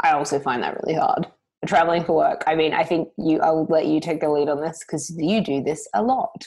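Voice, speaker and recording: At a moderate pace, a woman speaks with an Australian accent in a fairly low pitch. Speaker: podcast co-host. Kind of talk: casual chat.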